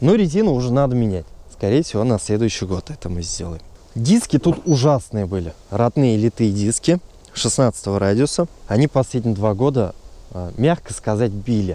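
The man's voice has a dark, mellow tone at a moderate pace. The sound is dry with no echo. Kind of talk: car review vlog. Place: open country.

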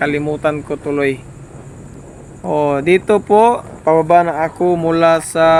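Noticeable background noise sits under the speech. The pace is very slow. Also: man. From Surigao del Sur, Mindanao. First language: Surigaonon/Visayan (speaking Tagalog). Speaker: travel vlogger. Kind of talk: vlog narration. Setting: driving on the road. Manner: halting.

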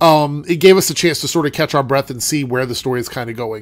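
The man has a nasal voice at a medium pitch.

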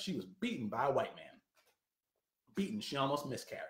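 A man's fairly high voice with very wide pitch swings, audible room echo and a quiet background. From Philadelphia. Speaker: political commentator. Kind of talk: live-stream monologue. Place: home room. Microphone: webcam.

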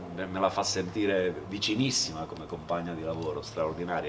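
Background noise is noticeable here. Over it, a man speaks fairly quickly. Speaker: theatre actor. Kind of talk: interview answer. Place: stage. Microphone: camera far.

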